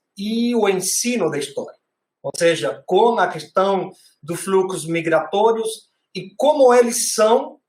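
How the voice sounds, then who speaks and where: A man speaks at a very slow pace. His voice is high in pitch, with ordinary pitch variation. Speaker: panel moderator, history educator. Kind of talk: academic panel discussion. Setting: video call. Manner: halting.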